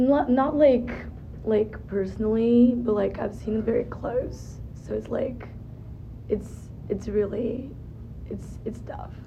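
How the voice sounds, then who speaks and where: Speaking very slowly with long, frequent pauses, a woman with a Portuguese accent is heard against noticeable background noise. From Brazil. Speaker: student interviewee. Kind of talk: casual interview. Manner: halting.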